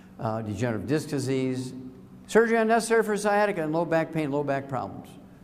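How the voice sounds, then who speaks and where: With audible room echo around him, a man talks at a fairly quick pace. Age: 70s. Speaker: lecturer on nutrition. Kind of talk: lecture. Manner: animated.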